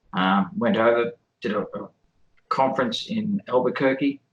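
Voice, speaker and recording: A man talks with an Australian accent at a medium pitch. His pace is fairly slow, and his pitch swings very widely. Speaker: electrical engineer and independent theorist. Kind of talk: interview self-introduction. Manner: halting, many fillers.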